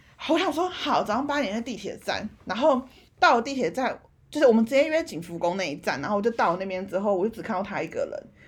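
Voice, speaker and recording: Very fast and animated, a woman's voice swings very widely in pitch. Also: fairly high pitch for a woman. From Taiwan. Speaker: podcast co-host. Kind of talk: casual chat.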